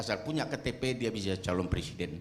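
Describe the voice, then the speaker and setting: A man at a moderate pace. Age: 70s. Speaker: retired army general and activist. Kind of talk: speech at a forum.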